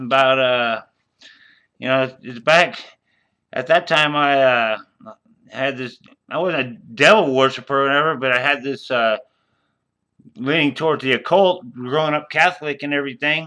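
With an American accent, a man speaks at a moderate pace in a fairly high pitch and a bright, sharp tone. Long, frequent pauses break up his speech against a quiet background. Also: ordinary pitch variation. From US Midwest, Des Moines, Iowa; Iowa. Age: 50s. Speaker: YouTuber and cannabis advocate; storyteller. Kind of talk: casual monologue. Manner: halting, full of fillers. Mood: loose, profane, animated. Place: home room. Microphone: webcam.

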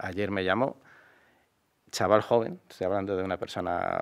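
Speaking in a monotone with flat intonation, a man with a fairly low voice talks at a moderate pace against a quiet background. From Madrid, Spain; Spain. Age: 50s. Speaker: mayoral candidate; candidate. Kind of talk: interview. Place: studio. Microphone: studio mic.

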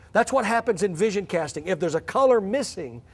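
A man speaks at a fairly quick pace in a high voice. His pitch varies in an ordinary way. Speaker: church growth coach and pastor. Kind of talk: seminar presentation. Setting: stage with audience. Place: church. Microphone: podium.

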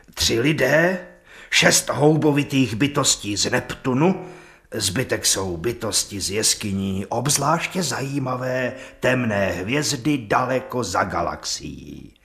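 A man whispers in a put-on character voice. The sound is hoarse. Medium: audio drama. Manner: refined, insistent.

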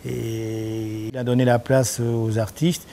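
A man at a medium pitch, monotone and flat, speaking at a very slow pace over noticeable background noise. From Argentina, Buenos Aires. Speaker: painter. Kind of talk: interview. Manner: halting, many repetitions and fillers.

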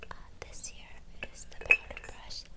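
Someone is whispering at a moderate pace. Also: woman. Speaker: makeup role-play host. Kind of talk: soft personal-attention role-play talk, product show. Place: home room. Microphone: phone near.

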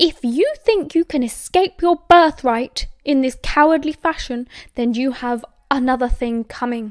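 In a put-on character voice, a woman talks at a moderate pace, her high-pitched delivery shrill and furious in tone. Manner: scornful, furious.

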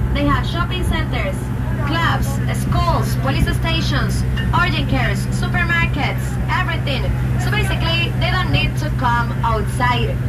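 Loud background noise fills the recording. A woman speaks at a fairly slow pace. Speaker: bilingual boat tour guide. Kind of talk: tour guide commentary. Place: boat.

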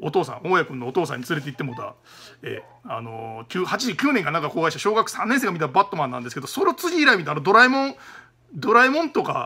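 Talking very fast in an animated tone, a man with a high voice swings his pitch very widely. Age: 30s. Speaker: YouTuber, film reviewer. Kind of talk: casual solo monologue. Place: office. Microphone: phone near.

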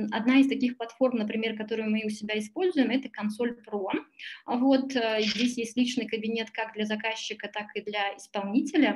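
Against light background noise, a woman with a fairly high pitch speaks in a somewhat breathy voice at a moderate pace, her intonation fairly even. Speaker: tax consultancy director. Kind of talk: webinar presentation. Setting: video call. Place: home room. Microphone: webcam.

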